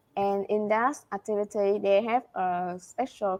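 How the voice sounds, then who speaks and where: At a fairly slow pace, a woman with a Vietnamese accent speaks at medium pitch. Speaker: IELTS test taker. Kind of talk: interview answer. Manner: hesitant, many fillers.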